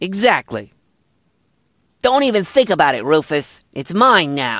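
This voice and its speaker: A put-on character voice at a middle pitch and moderate pace, with very wide pitch swings, on a very clean recording with a silent background. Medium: video game. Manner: innocent, cheerfully cunning.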